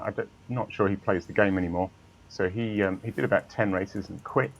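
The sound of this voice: A man speaks at a moderate pace in a low voice with vocal fry and fairly even intonation.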